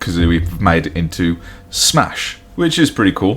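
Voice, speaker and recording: With music playing in the background, a man talks with a West Midlands accent. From England, West Midlands. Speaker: podcast co-host. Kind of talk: casual chat. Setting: home recording with table-mounted mic.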